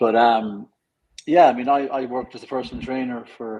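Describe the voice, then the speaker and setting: Here is a man with an Irish accent. He talks at a moderate pace. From Ireland. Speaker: fitness coach. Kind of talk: interview.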